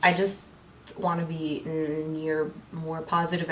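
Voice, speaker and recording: Noticeable background noise and audible room echo surround a woman with an American accent and a fairly low pitch. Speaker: beauty vlogger. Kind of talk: casual chat. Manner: loud; fast.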